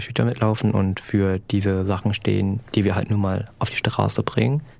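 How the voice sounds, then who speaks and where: Noticeable background noise sits behind a man speaking at a fairly quick pace. His voice is fairly low, with fairly even intonation. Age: 20s. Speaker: climate activist. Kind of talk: interview.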